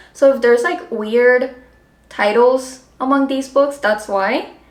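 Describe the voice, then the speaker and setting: A high-pitched woman with a Spanish accent at a fairly slow pace, ordinary pitch variation and noticeable background noise. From Colombia. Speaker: book vlogger. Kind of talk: casual vlog talk. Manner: casual, filler-heavy.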